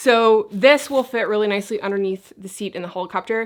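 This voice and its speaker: On a very clean recording with a silent background, a woman talks fairly quickly in a fairly high, animated voice with lively intonation. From Newfoundland and Labrador, Canada. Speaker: YouTuber, camping vlogger. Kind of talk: casual vlog talk to camera. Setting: outdoors at a campsite. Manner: casual, animated.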